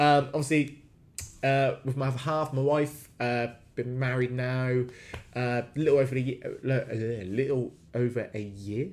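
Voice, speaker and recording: A man talks at a very slow pace and medium pitch, keeping his intonation fairly even. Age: 30s. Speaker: fitness coach. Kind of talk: solo podcast monologue. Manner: hesitant with many fillers.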